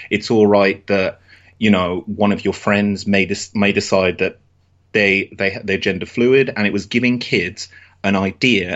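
A man with a British accent speaks at a fairly slow pace. His pitch is fairly low and his intonation fairly even. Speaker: wrestling fan podcaster. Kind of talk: casual chat.

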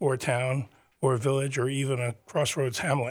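This man talks at a fairly quick pace with a somewhat breathy voice at medium pitch. His intonation is fairly even, and the recording is very clean with a silent background. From New Jersey (Teaneck, Bergen County). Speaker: urban planner and arts center event manager. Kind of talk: radio interview. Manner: halting, many fillers.

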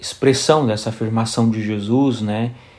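This man speaks at a medium pitch in a normal speaking voice. His intonation stays fairly even and his pace is fairly slow. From Brazil, raised in São Bernardo do Campo, São Paulo. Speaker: priest and author. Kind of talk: interview about his book.

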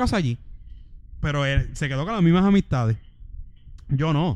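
A man with an ordinary speaking voice talks at a fairly quick pace, fairly high in pitch and with lively intonation. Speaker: podcast co-host. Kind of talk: casual chat.

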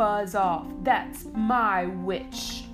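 A put-on character voice, fairly high, shrill, croaky and growling. Loud music plays in the background. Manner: threatening, gruff.

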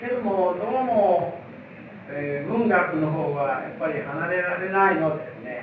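Lively intonation and big swings in loudness at a fairly slow pace, with noticeable background noise and audible room echo. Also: man, high pitch for a man. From Japan, Aichi (Mikawa coast). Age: 70s. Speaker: literature professor. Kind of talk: lecture.

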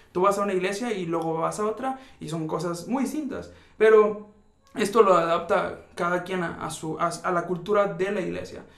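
A man speaks at a moderate pace in a high voice with ordinary pitch variation, with audible room echo and noticeable background noise. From rural Mexico. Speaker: podcast host. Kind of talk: casual conversation.

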